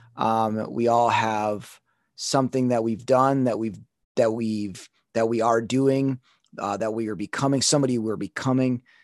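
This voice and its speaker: Here is a man with an unremarkable speaking voice at medium pitch. He keeps a moderate pace against a quiet background. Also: fairly even intonation. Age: 30s. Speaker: dancer and motivational speaker. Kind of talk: casual interview.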